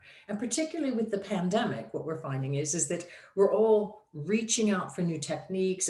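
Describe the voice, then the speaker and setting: A woman speaks with lively intonation, and audible room echo surrounds her voice. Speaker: digital marketing consultant. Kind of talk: presentation.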